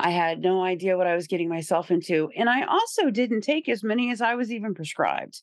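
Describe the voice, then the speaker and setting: A woman with an American accent at a very fast pace, medium in pitch, lively in intonation and very even in loudness, over a quiet background. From Indiana, rural small town. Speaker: person in recovery, peer recovery worker. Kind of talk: recovery testimony interview.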